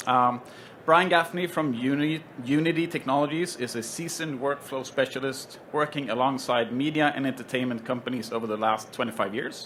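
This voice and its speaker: At a fairly quick pace, a man with a Swedish accent speaks at a medium pitch with ordinary pitch variation. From Sweden. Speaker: panel moderator, tech company solutions head. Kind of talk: panel introduction at trade show. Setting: stage with live audience at trade show. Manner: hesitant, many fillers.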